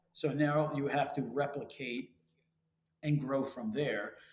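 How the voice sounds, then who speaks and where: This man's voice sits at a fairly high pitch and comes out somewhat breathy. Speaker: real estate investment company founder. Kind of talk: podcast interview. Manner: fast.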